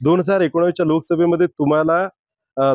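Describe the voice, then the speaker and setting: A man speaks at a fairly high pitch in an ordinary speaking voice. The sound is dry and close with no echo. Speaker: news editor and interviewer. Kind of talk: interview questions.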